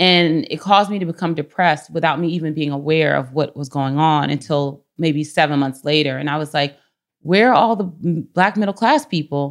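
A woman with an American accent and a very deep, low pitch talks at a moderate pace with ordinary pitch variation on a very clean recording with a silent background. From Washington, D.C. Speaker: community organization founder. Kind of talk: casual interview. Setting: recorded on camera.

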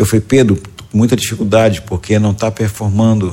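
With a plain, everyday voice, a man talks at a fairly quick pace and fairly low pitch. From Goiás, central-western Brazil. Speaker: educator and entrepreneur. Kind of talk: podcast interview.

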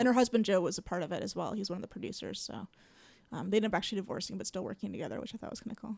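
A woman speaks at a very fast pace with vocal fry. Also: medium pitch for a woman, ordinary pitch variation. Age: 40s. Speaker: comedian and storytelling show host. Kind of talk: casual interview.

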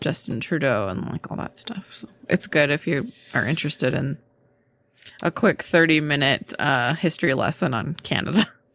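Soft-spoken and very deep, a woman's low voice moves at a moderate pace with lively intonation. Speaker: podcast co-host. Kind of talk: casual chat.

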